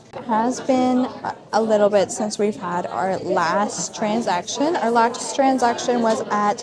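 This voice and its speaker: A woman with a fairly high pitch and ordinary pitch variation speaks at a very slow pace with hardly any pauses, against noticeable background noise. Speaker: small business owner and vlogger. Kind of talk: casual vlog talk to camera. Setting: indoor market venue. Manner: chatty, many fillers; loud at times, voice goes up.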